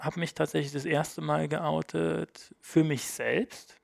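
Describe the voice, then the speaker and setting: In a very clean recording with a silent background, a man's voice sounds dry and close with no echo. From Germany. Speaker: podcast guest. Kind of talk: casual chat. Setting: studio.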